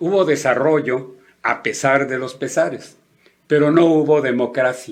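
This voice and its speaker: A man with a fairly high pitch speaks at a fairly slow pace with ordinary pitch variation. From northern Mexico. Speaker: radio host and politician. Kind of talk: radio talk show monologue on politics.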